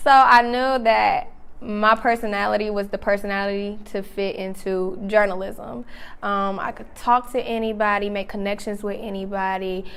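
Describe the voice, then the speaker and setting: An unremarkable speaking voice with an American accent, at a moderate pace. The intonation stays fairly even, while the loudness swings widely. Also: woman, medium pitch for a woman. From North Carolina, Charlotte. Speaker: singer. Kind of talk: interview.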